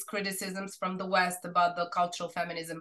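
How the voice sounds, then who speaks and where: With a Serbian accent, a woman talks in a bright, sharp tone. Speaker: researcher presenting a study. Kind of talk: academic seminar Q&A discussion. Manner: halting, many fillers and restarts.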